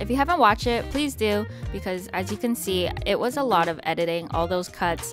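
A woman talks at a fairly quick pace. Clear music plays in the background, and the sound is dry with no echo. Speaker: vlogger narrating. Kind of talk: casual vlog voice-over. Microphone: studio mic.

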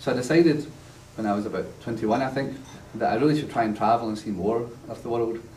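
A man with a strong Glasgow accent talks at a very fast pace with ordinary pitch variation, amid light background noise and audible room echo. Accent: strong Glaswegian Scottish. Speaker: university lecturer. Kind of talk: lecture. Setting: church class with live audience. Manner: humorous, storytelling. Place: classroom. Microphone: camera far.

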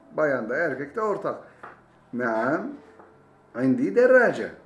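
At a very slow pace, a man with a fairly high pitch makes very wide pitch swings amid audible room echo. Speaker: Arabic language teacher. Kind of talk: language lesson. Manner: repetitive, explanatory. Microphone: webcam.

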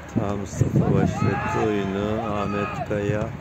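Clear background noise behind a man's fairly slow, fairly low, monotone, flat delivery

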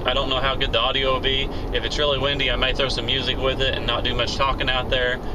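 A man at a very fast pace amid noticeable background noise. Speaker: shooting hobbyist vlogger. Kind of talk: casual vlog chat. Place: car. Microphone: phone near.

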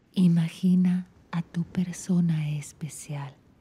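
Somewhat breathy, a woman is whispering. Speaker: relationship coach. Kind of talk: guided meditation. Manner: slow.

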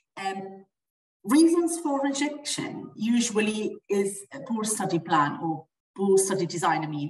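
A woman talks at a fairly slow pace, her medium-pitched, somewhat breathy voice swinging very widely in pitch. Audible room echo and light background noise fill the recording. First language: not English. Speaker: dental researcher; webinar presenter. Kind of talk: webinar presentation. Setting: video call. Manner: halting. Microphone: video call.

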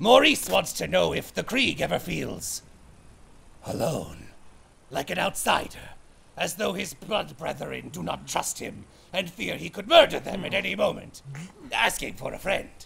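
A man's raspy, put-on character voice at a moderate pace, with long, frequent pauses. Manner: third-person speech, odd, earnest.

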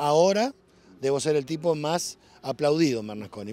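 A man's tone is dark and mellow, with very wide pitch swings. The sound is dry with no echo. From Argentina, La Pampa. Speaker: farmer and politician. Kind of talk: interview. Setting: outdoors at a livestock auction. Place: farm machine.

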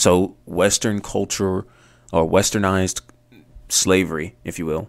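A man with a very deep, low voice. His intonation stays flat and monotone. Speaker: bible teaching vlogger. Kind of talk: casual teaching vlog. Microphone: studio mic.

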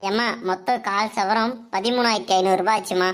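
A woman uses a cartoonish character voice at a medium pitch. She keeps a moderate pace and fairly even intonation. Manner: obliging, salesman-like.

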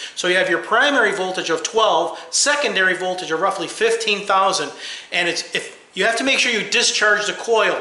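A man speaks at a moderate pace in a raised, projected voice, with audible room echo around him. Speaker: car repair channel host. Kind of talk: tutorial. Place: garage. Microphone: phone near.

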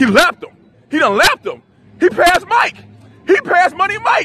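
Noticeable background noise runs under the recording. Over it, a man speaks with lively intonation. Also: dry sound with no echo. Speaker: boot camp coach. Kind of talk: shouted coaching commands. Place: street. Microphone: phone near.

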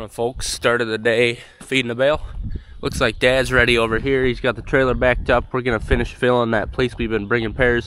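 A man speaks in a monotone, flat intonation while noticeable background noise plays. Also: medium pitch for a man, fairly quick pace. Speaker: farmer and rancher. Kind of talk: casual vlog narration. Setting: outdoors on the farm. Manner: chatty, relaxed.

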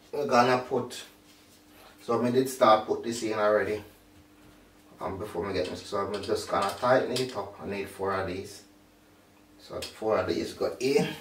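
A man talks at a moderate pace with fairly even intonation and long, frequent pauses. Audible room echo and light background noise are present. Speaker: home vlogger. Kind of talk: casual tutorial chat. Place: home room. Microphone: camera far.

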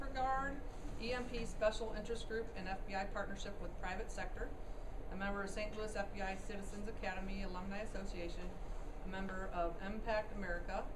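A woman talks at a fairly quick pace, and noticeable noise runs in the background. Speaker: meeting organizer. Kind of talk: casual introduction and Q&A. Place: meeting room. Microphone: camera far.

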